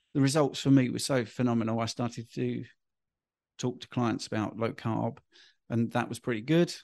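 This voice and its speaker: Behind this man's voice, the background is quiet. He speaks in an English accent. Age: 50s. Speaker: health and diet coach. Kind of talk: interview.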